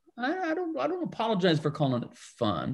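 Against a quiet background, a man talks at a moderate pace with very wide pitch swings. His voice is somewhat breathy. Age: 60s. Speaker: pastor. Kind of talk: casual chat.

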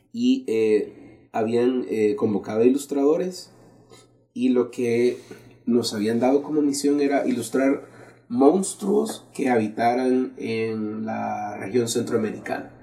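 A man in a Salvadoran accent speaks at a very slow pace, with medium pitch and ordinary pitch variation. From El Salvador, San Salvador. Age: 30s. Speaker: graphic artist. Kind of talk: casual interview. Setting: small room, seated on the floor.

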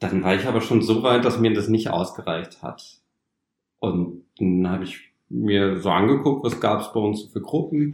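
Delivered at a moderate pace, this is a normal speaking voice with ordinary pitch variation. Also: man. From northern Germany, Osnabrück. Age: 30s. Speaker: trainee retail clerk, former carpenter. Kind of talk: interview, personal story.

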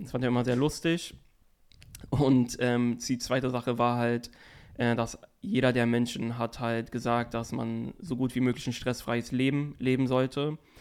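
In a medium-pitched voice, a man speaks with monotone, flat intonation. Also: fairly slow pace. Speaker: podcast co-host. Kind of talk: casual chat.

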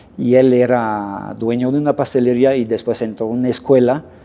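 A man with a dark, mellow tone speaks at a medium pitch and a fairly slow pace. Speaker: pastry chef and culinary instructor. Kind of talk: casual interview.

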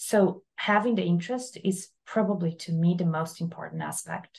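Speaking with ordinary pitch variation, a woman has a somewhat breathy voice. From Brazil. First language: Portuguese. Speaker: architect. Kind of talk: interview.

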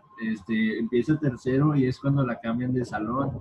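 A man with a Mexican accent, medium pitch, ordinary pitch variation and a moderate pace. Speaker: podcast co-host. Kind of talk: casual chat.

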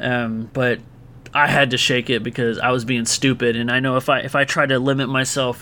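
Here a man has a normal speaking voice at medium pitch. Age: 30s. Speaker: podcast host. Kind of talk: casual solo monologue answering listener questions. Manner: casual, filler-heavy.

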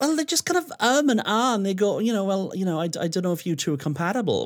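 A man speaks in a South Wales accent. His pitch swings very widely. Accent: Welsh (South Wales). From Wales, Swansea. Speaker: DJ and radio host. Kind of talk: casual chat. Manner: animated, outgoing.

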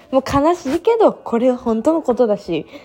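The intonation is lively. The tone is dark and mellow. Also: woman. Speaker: solo podcaster. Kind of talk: casual monologue. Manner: laughs often while talking.

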